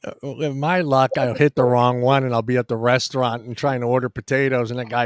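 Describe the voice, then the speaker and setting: Speaking fairly quickly in a Californian accent, a man holds a medium pitch with fairly even intonation. The sound is dry and close, with no echo. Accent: California. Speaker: podcast host. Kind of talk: casual chat. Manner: halting.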